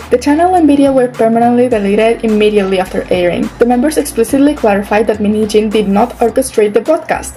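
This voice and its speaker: Music plays in the background as a woman talks at a very fast pace, her pitch fairly high with ordinary pitch variation. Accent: non-native. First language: not English. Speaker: YouTuber commentator. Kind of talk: commentary video narration.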